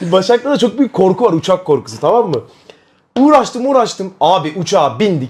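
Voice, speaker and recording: A man speaks loudly in an animated tone at a high pitch. His intonation is lively and his pace moderate. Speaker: streamer. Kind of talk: casual chat.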